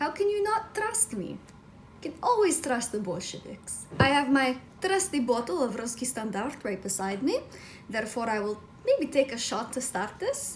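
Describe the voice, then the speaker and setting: With very wide pitch swings, a woman speaks in a high voice at a moderate pace over noticeable background noise. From Russia. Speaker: book reviewer. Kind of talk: comedic in-character intro; book review vlog. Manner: casual, scripted-sounding.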